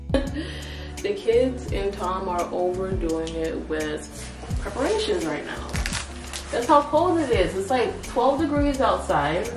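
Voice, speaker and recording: Clear music sounds in the background. A woman talks very slowly over it. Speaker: family vlogger. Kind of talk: casual vlog chat. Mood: cheerful, laughing. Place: home room. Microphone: phone near.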